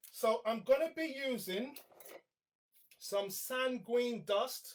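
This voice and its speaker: In an animated tone, a man talks at an extremely high pitch. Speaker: artist demonstrating sketching. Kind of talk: live art tutorial. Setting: live stream. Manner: loud.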